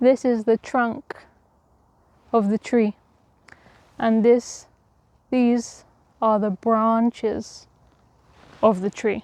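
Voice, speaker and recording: Monotone and flat, a woman speaks at a very slow pace with long, frequent pauses, her pitch fairly high and the sound dry and close with no echo. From Essex, England. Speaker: English teacher. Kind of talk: walk and talk vlog for learners. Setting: outdoors. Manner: slow, clear.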